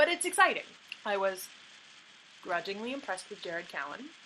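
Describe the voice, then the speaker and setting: With a Canadian accent and medium pitch, a woman speaks in an animated tone at a fairly quick pace. Noticeable background noise runs under her voice. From Canada. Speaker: hockey vlogger. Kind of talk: vlog commentary. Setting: home, childhood bedroom or basement.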